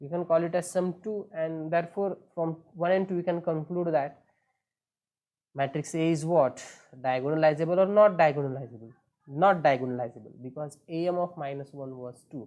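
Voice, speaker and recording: His voice is a normal speaking voice, at a fairly high pitch for a man. He speaks at a moderate pace with ordinary pitch variation. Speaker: mathematics teacher. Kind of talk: lecture.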